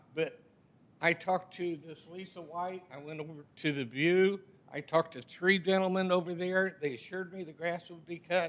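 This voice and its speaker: At a moderate pace, a man speaks in a high pitch with fairly even intonation and big swings in loudness. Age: 70s. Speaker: resident speaking at public comment. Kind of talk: public comment at council meeting. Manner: agitated.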